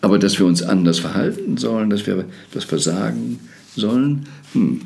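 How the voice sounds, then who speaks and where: Within audible room echo, a man speaks with very wide pitch swings. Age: 70s. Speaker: podcast host. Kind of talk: monologue.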